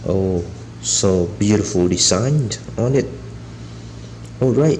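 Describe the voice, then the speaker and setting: A man with a fairly low pitch speaks at a very slow pace, his intonation lively. The recording carries audible room echo and noticeable background noise. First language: not English. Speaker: toy reviewer. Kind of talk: casual product showcase. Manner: halting.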